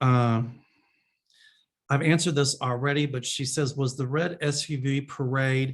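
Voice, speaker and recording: A man with a Kentucky accent, somewhat breathy, with ordinary pitch variation. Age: 60s. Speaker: psychic medium. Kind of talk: answering viewer questions. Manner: casual, chatty.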